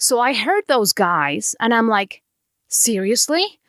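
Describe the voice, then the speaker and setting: In a very clean recording with a silent background and a dry, close sound with no echo, a woman with a Mexican accent speaks at a very slow pace in a fairly high pitch with lively intonation. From Mexico. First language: Spanish. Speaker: podcast host. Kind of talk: podcast monologue.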